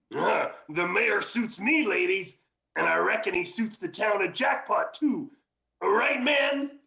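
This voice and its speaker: Putting on a character voice, a man drawls at a fairly slow pace, his pitch high, his intonation lively and his loudness very even. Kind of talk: 1940s radio acting. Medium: old radio play. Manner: drawling, folksy frontier slang.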